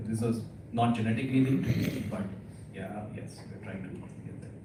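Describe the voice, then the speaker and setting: A soft-spoken man talks at a fairly quick pace with fairly even intonation, against noticeable background noise and audible room echo. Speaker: cochlear implant specialist speaker. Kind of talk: lecture. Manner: hesitant with many fillers; soft, low.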